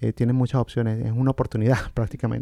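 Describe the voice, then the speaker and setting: A man talks in a dark, mellow tone with fairly even intonation, the sound dry and close with no echo. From Venezuela. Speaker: family physician. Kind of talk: interview conversation.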